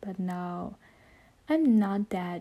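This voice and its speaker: A woman with a non-native accent speaks very slowly in a dark, mellow, somewhat breathy tone. Her pitch varies in an ordinary way. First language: not English. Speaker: podcaster. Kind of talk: solo casual monologue. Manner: halting.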